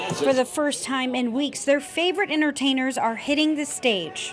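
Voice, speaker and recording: Music plays in the background as a woman speaks at a moderate pace. Her voice is high with ordinary pitch variation. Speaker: TV news reporter and anchor. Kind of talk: packaged news story voiceover.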